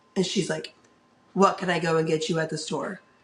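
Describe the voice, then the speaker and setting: A woman with a fairly low pitch, talking at a fairly quick pace amid noticeable background noise. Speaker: podcast co-host. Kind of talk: casual chat. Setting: in person, sitting together.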